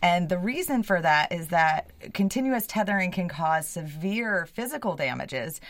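On a very clean recording with a silent background, a woman with a normal speaking voice talks at a fairly slow pace and a fairly low pitch. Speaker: animal welfare advocate. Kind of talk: radio interview. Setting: studio.

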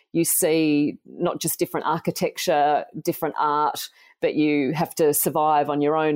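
A woman with an Australian accent speaks in a very deep, low voice with monotone, flat intonation. Her moderate pace comes through in a very clean recording with a silent background. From Australia, country New South Wales. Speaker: nutritional biochemist and author. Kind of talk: podcast interview.

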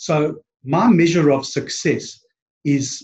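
The speaker is a man with a South African accent. His pitch is fairly high. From East London, South Africa. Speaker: podcast guest, branding business owner.

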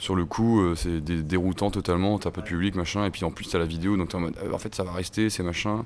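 A very deep, low-pitched man with fairly even intonation. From Brittany, Côtes d'Armor (near Paimpol). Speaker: rock musician. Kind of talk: interview. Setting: music festival. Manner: casual, hesitant.

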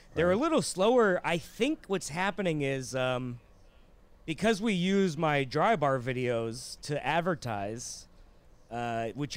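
An unremarkable speaking voice belongs to a man who talks at a fairly slow pace. His intonation is lively. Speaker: comedian. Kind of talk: casual chat.

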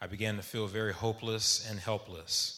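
In a bright, sharp tone, a man with an American accent speaks at a fairly low pitch and a fairly quick pace, with audible room echo. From Texas, Dallas suburbs. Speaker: navy veteran. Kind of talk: storytelling. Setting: stage with audience.

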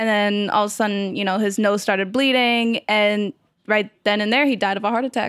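Her pitch sits fairly high. The woman's intonation is monotone and flat. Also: very clean recording, silent background. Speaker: assistant editor of an anime section. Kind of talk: casual panel discussion. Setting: in-person recording.

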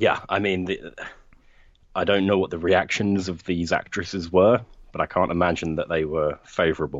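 This man's pitch is very deep and low, and his intonation stays fairly even. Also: moderate pace. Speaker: video creator interviewee.

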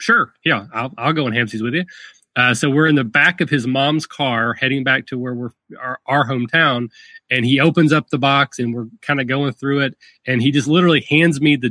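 In a Kentucky accent, a man speaks at a medium pitch. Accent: Southern US (Kentucky). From rural Kentucky. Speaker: tabletop gaming podcaster. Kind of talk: casual interview. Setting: video call.

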